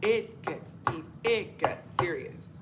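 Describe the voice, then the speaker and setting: A woman's voice comes with audible room echo. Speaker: spiritual coach and vlogger. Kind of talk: motivational monologue vlog.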